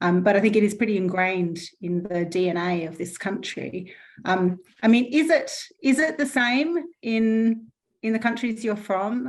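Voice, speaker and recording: Against a quiet background, a woman with an Australian accent speaks at a medium pitch with ordinary pitch variation. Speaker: panel moderator at online event. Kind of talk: online panel discussion. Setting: online event.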